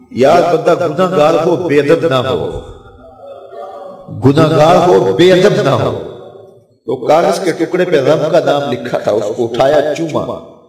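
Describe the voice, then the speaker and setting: There is noticeable background noise behind this man, whose voice sits fairly high for a man. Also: ordinary pitch variation. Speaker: Islamic preacher giving a religious lecture. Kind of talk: religious sermon telling a devotional story.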